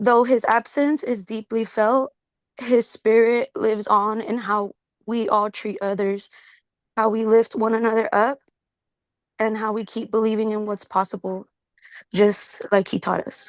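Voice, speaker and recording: In a dry, close sound with no echo and a quiet background, a woman speaks fairly slowly in a monotone, flat voice with long, frequent pauses. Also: fairly high pitch for a woman. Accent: American. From Prunedale, California. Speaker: public commenter. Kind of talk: tribute statement, read. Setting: online remote call into meeting.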